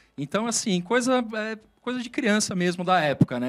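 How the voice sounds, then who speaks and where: The recording is very clean over a silent background. A man delivers his words at a fairly quick pace. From Brazil, moved around; family from southern Minas Gerais. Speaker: IT executive. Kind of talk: career interview. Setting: studio. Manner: hesitant, many filler sounds.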